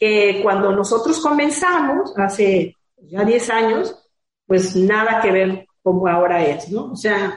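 A woman's slightly breathy voice moves fairly slowly, her intonation lively. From Guadalajara, Mexico. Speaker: bike shop owner. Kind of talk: interview. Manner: halting, many fillers.

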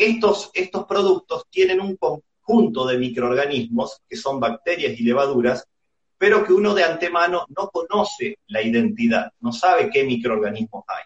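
Pitched high for a man, this male voice swings very widely up and down. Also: moderate pace. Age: 40s. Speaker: microbiology researcher and university teacher. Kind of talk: casual chat. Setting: Instagram live video call.

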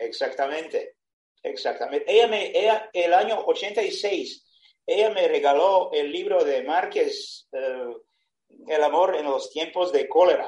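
A man speaks with a Serbian accent. His pace is very slow. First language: Serbian (speaking Spanish). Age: 70s. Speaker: retired sailor. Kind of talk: personal storytelling. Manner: halting.

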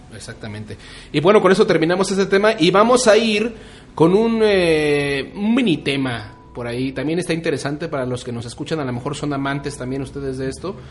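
A man's fairly quick, fairly high-pitched speech with very wide pitch swings and big jumps in loudness, over noticeable background noise. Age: 30s. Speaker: podcast co-host. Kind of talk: casual chat. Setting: studio streamed on Facebook Live.

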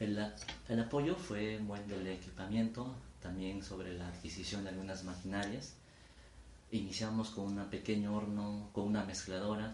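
A man speaks at a moderate pace in a fairly low pitch with fairly even intonation. Audible room echo and noticeable background noise surround him. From Peru, Ayacucho region. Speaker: engineer and food entrepreneur. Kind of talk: interview. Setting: his home. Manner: formal.

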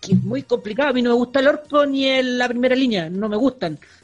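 The voice carries a Chilean accent with ordinary pitch variation. Noticeable background noise is present. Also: man. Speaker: podcast co-host. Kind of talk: casual chat.

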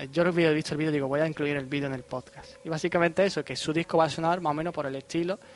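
Very fast speech from a man with a fairly high pitch, hardly any pauses and noticeable background noise. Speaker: podcast host. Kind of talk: casual chat. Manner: animated.

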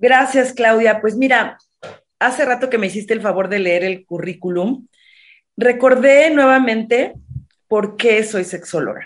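A woman's fairly high voice at a fairly slow pace, with ordinary pitch variation and a normal speaking voice. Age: 50s. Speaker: sexologist. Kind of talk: interview.

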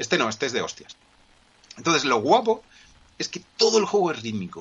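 His pace is very fast. The man's pitch swings across a very wide range. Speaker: podcast co-host. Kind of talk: casual chat. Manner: energetic. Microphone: poor audio connection.

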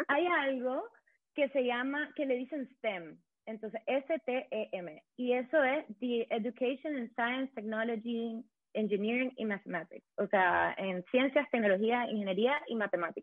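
Lively intonation at a fairly slow pace, with a Nicaraguan accent. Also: woman, high pitch for a woman. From Nicaragua, Managua. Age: 20s. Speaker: economic policy consultant. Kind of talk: casual interview chat.

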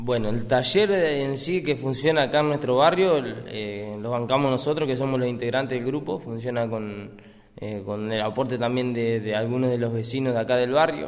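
Amid noticeable background noise and audible room echo, a man speaks in a medium pitch at a moderate pace with ordinary pitch variation. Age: 20s. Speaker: rapper and youth workshop leader. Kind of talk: interview testimony.

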